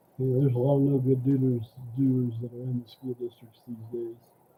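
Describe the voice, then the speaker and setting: A man mumbles his words. His intonation is monotone and flat. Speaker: livestream news commentator. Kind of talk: casual live stream commentary. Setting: solo live stream. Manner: mumbling; halting. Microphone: mic too quiet.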